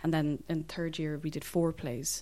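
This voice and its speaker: With a Dublin accent, a woman speaks at a very deep, low pitch in a dark, mellow tone on a very clean recording with a silent background. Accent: Dublin Irish. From Dublin, Ireland. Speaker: actor. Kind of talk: interview.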